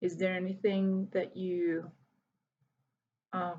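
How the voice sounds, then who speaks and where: Somewhat breathy and medium in pitch, a woman speaks at a very slow pace. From Hungary, Budapest. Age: 30s. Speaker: volunteer English teacher. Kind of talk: video self-introduction to students.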